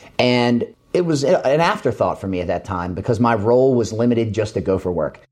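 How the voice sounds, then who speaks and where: In an ordinary speaking voice, a man with an American accent talks at medium pitch. His intonation is lively and his pace fairly quick. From Maryland, suburbs of Baltimore. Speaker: agricultural company community relations manager. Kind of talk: interview.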